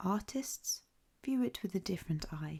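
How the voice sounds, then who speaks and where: A soft-spoken voice with an English accent. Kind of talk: ASMR book reading.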